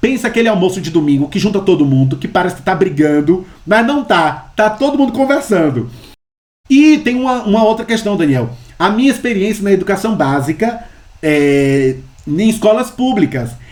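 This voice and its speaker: Someone speaks in a Bahian accent at a moderate pace. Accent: Bahian Brazilian Portuguese. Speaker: history professor, researcher. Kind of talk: interview conversation. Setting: remote call from home. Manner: loud.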